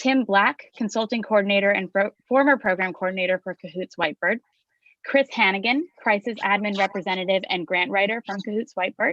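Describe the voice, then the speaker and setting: At a fairly quick pace, a woman speaks in a medium pitch with ordinary pitch variation, the sound dry and close with no echo and the background quiet. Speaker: nonprofit president and panel moderator. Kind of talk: panel moderation introduction. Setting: video call live stream. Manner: fast.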